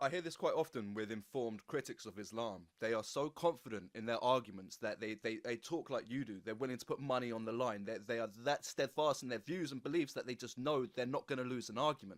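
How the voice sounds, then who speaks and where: Here a man with an English accent talks at a very fast pace. He uses ordinary pitch variation and hardly any pauses. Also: medium pitch for a man. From England. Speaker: podcast host. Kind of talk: interview.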